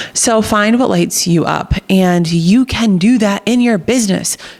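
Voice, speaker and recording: A woman with an American accent speaks at medium pitch in an animated, energetic tone with ordinary pitch variation. Noticeable background noise is present. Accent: New Jersey accent, comes out when excited. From New Jersey. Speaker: podcast host. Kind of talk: motivational podcast monologue. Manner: partly reading aloud.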